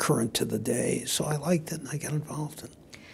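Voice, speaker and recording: Male speech in an American accent amid noticeable background noise. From Detroit, Michigan. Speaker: lawyer. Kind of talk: oral history interview answer.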